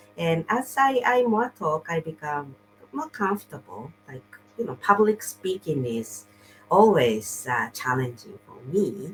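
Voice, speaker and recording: A woman with a non-native accent speaks at a fairly slow pace in a fairly low voice, with very wide pitch swings and big swings in loudness. Noticeable background noise is present. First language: not English. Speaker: online business coach and show host. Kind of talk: casual interview chat. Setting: livestream video call. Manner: halting, with repetitions.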